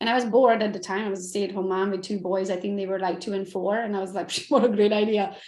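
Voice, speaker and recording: With a slight Romanian accent, a woman at a medium pitch talks at a very fast pace with hardly any pauses, amid audible room echo. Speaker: realtor and coach. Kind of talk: podcast interview. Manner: animated.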